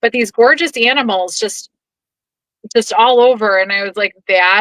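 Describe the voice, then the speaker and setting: With an American accent, a woman speaks at a fairly high pitch and a moderate pace in an unremarkable speaking voice, with ordinary pitch variation and a dry, close sound with no echo. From Chicago. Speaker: podcaster. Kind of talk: casual chat.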